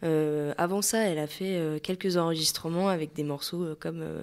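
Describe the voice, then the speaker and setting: Here a woman talks with a fairly low pitch at a moderate pace. Her intonation is fairly even. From western France, Maine-et-Loire. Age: 20s. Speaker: singer. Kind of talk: interview. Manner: hesitant, many fillers.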